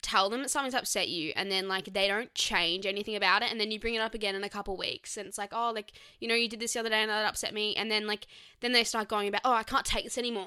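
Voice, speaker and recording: In a very clean recording with a silent background, a woman with an Australian accent speaks at a very fast pace with a fairly high pitch, a bright, sharp tone and fairly even intonation. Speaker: podcast co-host. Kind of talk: casual chat.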